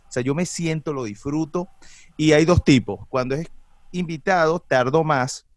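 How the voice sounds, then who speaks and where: This man's voice sits at a fairly high pitch. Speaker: commercial voice-over announcer and podcaster. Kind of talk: casual chat.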